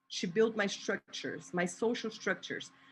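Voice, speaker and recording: A woman speaks with a Portuguese accent. The background is quiet. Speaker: activist and artist. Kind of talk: spoken word poetry performance.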